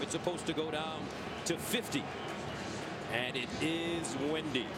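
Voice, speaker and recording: A man speaks at a fairly slow pace. The sound is dry with no echo, and music plays in the background. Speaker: play-by-play announcer. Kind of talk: commentary.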